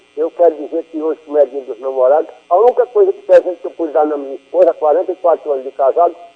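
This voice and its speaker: Over music in the background, a man talks very fast at a fairly high pitch with ordinary pitch variation. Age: 60s. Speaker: radio caller. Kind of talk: call-in question on radio.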